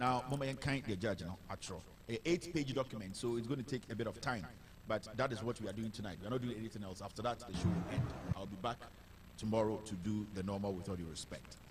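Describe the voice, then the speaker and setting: This man's voice is somewhat breathy. He speaks at a very fast pace. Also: fairly low pitch for a man, ordinary pitch variation. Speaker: online news show host.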